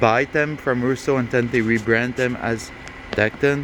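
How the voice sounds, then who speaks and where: A man with a French Canadian accent talks in a medium pitch with monotone, flat intonation. Noticeable background noise is present. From Quebec. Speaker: aircraft mechanic. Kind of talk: tutorial. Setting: workshop. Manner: halting.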